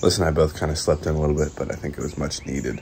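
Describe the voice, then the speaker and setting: Noticeable background noise sits under the talking. The delivery is very fast. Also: man. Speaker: cycling vlogger. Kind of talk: vlog narration.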